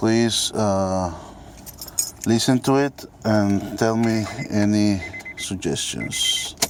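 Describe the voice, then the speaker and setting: A man speaks with a Mexican accent, very even loudness and ordinary pitch variation. Long, frequent pauses break up his speech over noticeable background noise. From Mexico. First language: Spanish. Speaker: car owner seeking help. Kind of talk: amateur video demonstration. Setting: at a car, engine bay. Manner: halting, many fillers.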